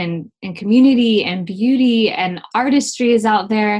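A somewhat breathy woman's voice, fairly high in pitch, with ordinary pitch variation and a very slow pace. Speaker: singer-songwriter and teacher. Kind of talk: casual interview chat.

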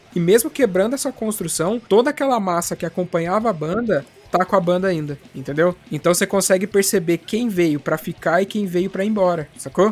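With music in the background, the speech runs at a fairly quick pace with hardly any pauses and ordinary pitch variation. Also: man, high pitch for a man. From interior of São Paulo state, Brazil. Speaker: podcaster, punk music fan. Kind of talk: casual chat.

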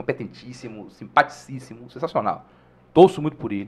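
At a moderate pace, a man speaks with vocal fry. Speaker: history teacher and stand-up comedian. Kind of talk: casual chat.

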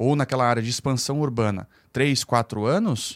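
A man with an unremarkable speaking voice talks at medium pitch and a moderate pace. The sound is dry and close with no echo, in a very clean recording with a silent background. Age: 30s. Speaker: real estate developer and teacher. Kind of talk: podcast interview.

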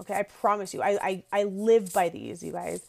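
The speaker has a normal speaking voice, moving at a moderate pace with fairly even intonation. The recording is very clean, with a silent background. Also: woman. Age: 30s. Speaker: podcast host, entrepreneur. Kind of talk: solo podcast talk. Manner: casual, filler-heavy.

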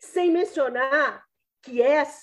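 At a very slow pace, a woman speaks with a high pitch and very wide pitch swings. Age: 50s. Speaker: public defender and law professor, election candidate. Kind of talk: campaign statement in interview.

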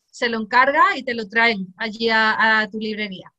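This woman's voice sits fairly high in pitch and has a bright, sharp tone. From Cádiz, Andalusia, Spain. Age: 40s. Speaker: music teacher and humor author. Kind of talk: interview.

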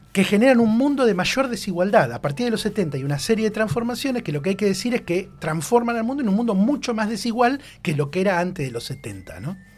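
Here a man talks with lively intonation and a high pitch. His pace is fairly quick. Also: hardly any pauses. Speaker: radio columnist. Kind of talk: radio column discussion.

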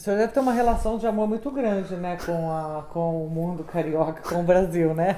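At a moderate pace and with hardly any pauses, a woman talks in a fairly low voice with ordinary pitch variation. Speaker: interviewer. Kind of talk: interview. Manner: animated.

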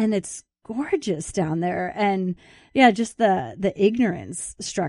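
A woman with an American accent talks in a dark, mellow tone with lively intonation. The sound is dry and close with no echo against a quiet background. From US Midwest, outside Chicago. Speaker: author. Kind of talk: interview.

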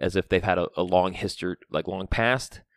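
A man speaks in an animated tone. The sound is dry and close with no echo, on a very clean recording with a silent background. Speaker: podcast co-host and brewery tour guide. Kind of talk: casual chat. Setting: home studio. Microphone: mic held close to mouth.

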